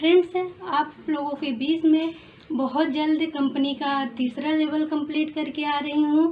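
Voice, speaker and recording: A woman speaks with a high pitch. Her intonation stays monotone and flat. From Prayagraj, Uttar Pradesh, India. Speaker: network marketing member. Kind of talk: testimony.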